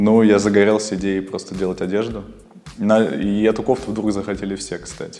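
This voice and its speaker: Over noticeable background noise, a man speaks at a moderate pace with a fairly low pitch and monotone, flat intonation. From Kyrgyzstan. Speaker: fashion model and clothing designer. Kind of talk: interview.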